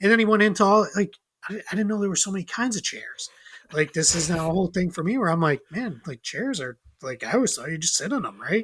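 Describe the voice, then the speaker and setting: Lively in intonation and very fast, a man talks at a high pitch. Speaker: podcast guest. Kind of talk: casual chat. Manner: animated.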